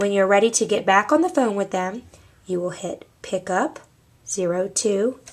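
Here we have a woman talking. She keeps to a fairly slow pace. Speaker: office staff trainer. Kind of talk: tutorial. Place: office. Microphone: camera far.

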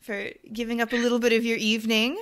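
A woman with a normal speaking voice talks at a fairly high pitch. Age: 30s. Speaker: podcast host. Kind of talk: interview; scripted intro.

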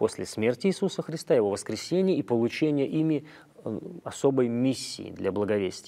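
In a quiet setting, a man with a dark, mellow tone speaks at a moderate pace, his pitch swinging very widely. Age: 40s. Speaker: clergyman; guest. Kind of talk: religious talk show interview. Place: studio. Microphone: lapel.

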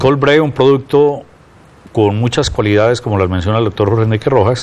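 A moderate pace and ordinary pitch variation over noticeable background noise. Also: man. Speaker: television host. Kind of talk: TV health show hosting. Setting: studio.

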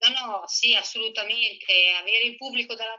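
The woman's voice is heard with a quiet background. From Italy. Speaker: former professional tennis player. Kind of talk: casual interview. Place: home room. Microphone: video call.

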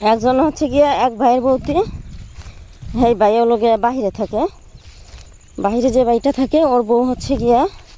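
A woman speaks with a high pitch and fairly even intonation. Her loudness stays very even. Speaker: village vlogger. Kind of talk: vlog narration. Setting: outdoors. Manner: conversational, meandering.

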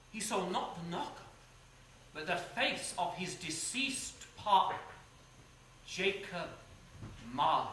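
Light background noise and audible room echo accompany a man speaking fairly slowly at a high pitch, his pitch varying in an ordinary way. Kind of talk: theatrical storytelling with character voices. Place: stage. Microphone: camera far.

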